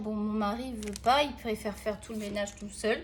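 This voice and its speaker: A woman speaking at a moderate pace. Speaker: art tutorial youtuber. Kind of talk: casual drawing tutorial chat.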